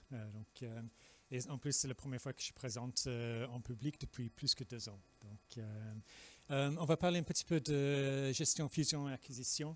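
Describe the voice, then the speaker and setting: A man with a British accent speaks at a fairly slow pace and medium pitch. The recording is very clean, with a silent background. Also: ordinary pitch variation, dry, close sound with no echo. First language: English (speaking French). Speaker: regulatory affairs expert presenting at industry event. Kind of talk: conference presentation. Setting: public presentation. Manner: halting, many filler sounds.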